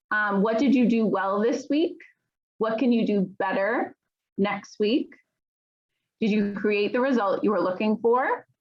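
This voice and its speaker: A woman speaks fairly slowly in a somewhat breathy, fairly high voice with lively intonation. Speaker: teacher. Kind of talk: lecture.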